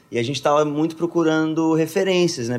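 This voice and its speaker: This man delivers his lines at a very fast pace. The rise and fall of his pitch is ordinary. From Brazil, Minas Gerais (Contagem). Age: 20s. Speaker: worship singer. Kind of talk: casual chat.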